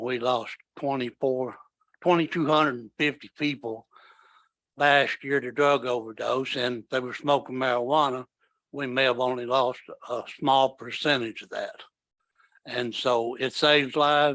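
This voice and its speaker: On a very clean recording with a silent background, a man speaks at a medium pitch in a bright, sharp, monotone, flat voice at a moderate pace with long, frequent pauses. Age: 70s. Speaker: war veteran. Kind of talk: public testimony. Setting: town hall meeting.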